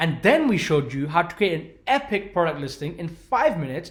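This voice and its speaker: This man's high voice swings very widely in pitch. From London, England. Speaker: online business coach. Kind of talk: webinar sales pitch. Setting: live webinar with chat. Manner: rambling with repetitions.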